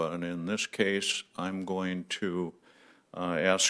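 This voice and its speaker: This man has a very deep, low pitch, a bright, sharp tone, and monotone, flat intonation. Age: 80s+. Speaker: resident speaking at public hearing. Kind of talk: public comment at town board meeting. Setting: town board meeting. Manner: halting, many fillers.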